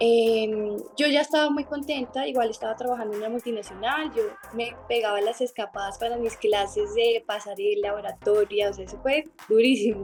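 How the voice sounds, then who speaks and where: A woman's fairly high voice at a moderate pace, with ordinary pitch variation and music in the background. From Colombia, Bogotá. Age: 20s. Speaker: beauty queen. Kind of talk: interview testimony.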